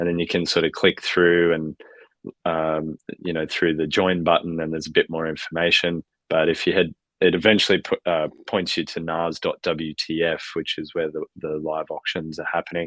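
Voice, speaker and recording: A man's very deep, low voice with an Australian accent, monotone and flat at a moderate pace, dry and close with no echo over a quiet background. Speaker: founder of an NFT collective for extreme athletes. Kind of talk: podcast interview. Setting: live stream with cameras off. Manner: many fillers and false starts.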